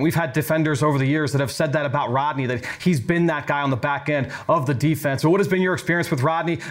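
Speaking at a very fast pace, a man keeps fairly even intonation at a fairly high pitch. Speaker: podcast host. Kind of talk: casual sports analysis podcast.

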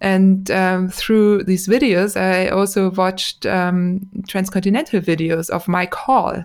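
A woman speaks at a very slow pace with hardly any pauses. Her pitch is medium and her intonation fairly even. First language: German. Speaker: podcaster and racing cyclist. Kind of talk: casual interview chat.

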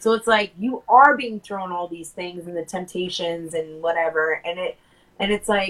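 A woman speaks in a normal speaking voice at a moderate pace. Her pitch shows ordinary variation. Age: 30s. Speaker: podcast co-host. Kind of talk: casual chat. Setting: studio.

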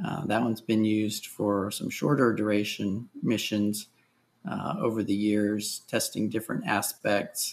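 With an ordinary speaking voice, a man talks at a fairly slow pace, his fairly low pitch showing ordinary variation. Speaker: space agency technologist. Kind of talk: interview.

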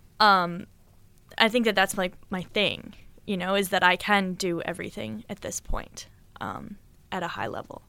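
A woman with a General American accent speaks at a moderate pace and a medium pitch, her bright, sharp tone showing vocal fry, ordinary pitch variation, big swings in loudness and long, frequent pauses, all on a very clean recording with a silent background. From Boulder, Colorado. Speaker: pro rock climber. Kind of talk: casual interview.

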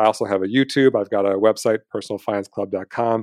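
Very fast, fairly low male speech with a dry, close sound with no echo and a quiet background. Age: 30s. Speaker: personal finance educator. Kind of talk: interview conversation.

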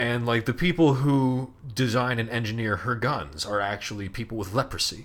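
A man speaks at a medium pitch. He has a normal speaking voice. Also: ordinary pitch variation, moderate pace. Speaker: college radio host. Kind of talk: casual chat. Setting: recording from his room.

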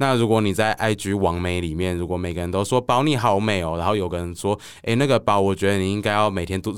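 Recorded very cleanly against a silent background, a man with a Taiwanese accent talks at a fairly quick pace, his fairly low pitch showing ordinary pitch variation. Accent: Taiwanese Mandarin. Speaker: author. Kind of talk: casual interview chat.

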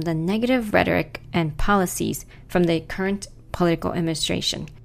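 At medium pitch and a moderate pace, a woman talks in an ordinary speaking voice with ordinary pitch variation. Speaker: podcast co-host. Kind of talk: scripted narration.

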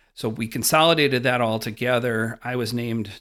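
With fairly even intonation and a medium pitch, a man is heard on a very clean recording against a silent background. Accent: American. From Wisconsin, rural. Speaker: investment fund director. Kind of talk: interview.

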